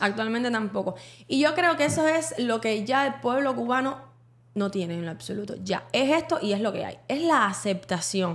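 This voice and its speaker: At a moderate pace, a woman with a fairly high voice speaks with very wide pitch swings. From Cuba. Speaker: podcast co-host. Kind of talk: casual chat.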